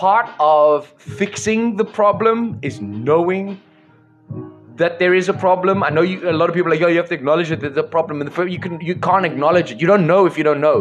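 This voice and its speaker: The pace is fairly quick. Faint music sits in the background. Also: man, high pitch for a man, ordinary pitch variation. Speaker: live stream host. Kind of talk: passionate monologue to viewers. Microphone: studio mic.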